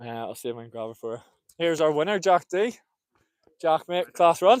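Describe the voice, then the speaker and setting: Big swings in loudness and very wide pitch swings mark this man's high voice at a fairly quick pace. The sound is dry and close, with no echo. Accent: Northern Irish. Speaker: race commentator. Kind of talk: live commentary and trackside interview. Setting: outdoors at athletics track, live stream.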